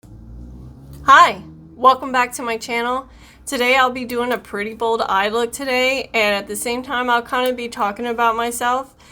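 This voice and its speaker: Speaking in an American accent, a woman with a high, bright, sharp voice keeps a moderate pace and monotone, flat intonation. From US South, South Louisiana. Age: 30s. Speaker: beauty vlogger. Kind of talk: casual chat while doing makeup tutorial. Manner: chatty.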